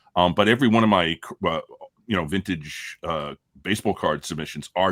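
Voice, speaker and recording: The sound is dry and close with no echo as a man speaks at a fairly quick pace. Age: 60s. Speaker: sports card collector and hobby channel creator. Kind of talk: casual panel discussion on live show. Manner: halting, many fillers and repetitions.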